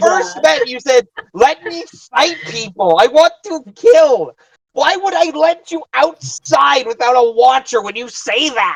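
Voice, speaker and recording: This put-on character voice sits fairly high in pitch, swinging very widely up and down at a fairly slow pace. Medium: actual play.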